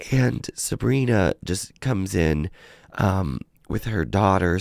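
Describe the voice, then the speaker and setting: A man's very deep, low pitch with vocal fry and very wide pitch swings, on a very clean recording with a silent background. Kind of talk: casual talk to camera.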